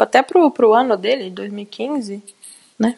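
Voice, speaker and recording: The voice moves at a very slow pace. The sound is dry and close with no echo. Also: woman. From interior of Brazil. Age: 20s. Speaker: gaming youtuber. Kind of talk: casual chat.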